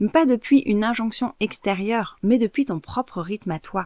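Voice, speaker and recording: A woman speaks in a plain, everyday voice at a fairly high pitch. Her intonation is lively and her pace fairly slow. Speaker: podcast host, cycle awareness coach. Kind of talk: solo podcast monologue. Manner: conversational, informal.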